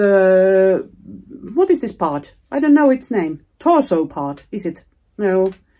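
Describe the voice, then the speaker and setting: A woman with a Finnish accent speaks at a very slow pace in a dark, mellow tone of medium pitch, her voice making very wide pitch swings. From Finland. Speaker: knitting vlogger and pattern designer. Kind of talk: casual vlog talk. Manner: halting, searching for words.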